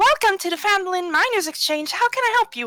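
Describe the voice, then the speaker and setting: In a put-on character voice, a woman talks very fast. Her pitch is extremely high. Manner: polite, professional customer service tone.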